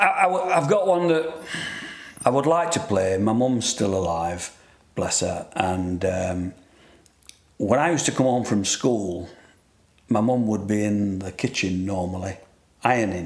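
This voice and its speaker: Against noticeable background noise, a man with a fairly low pitch talks at a fairly slow pace, using lively intonation and long, frequent pauses. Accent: Yorkshire. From northern England, Sheffield. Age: 60s. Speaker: radio co-host, retired engineer. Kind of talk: casual radio interview. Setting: radio studio. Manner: halting.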